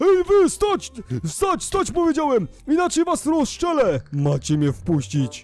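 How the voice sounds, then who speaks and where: Putting on a character voice, a man speaks at an extremely high pitch and a fairly slow pace, with faint music in the background. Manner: threatening, angry.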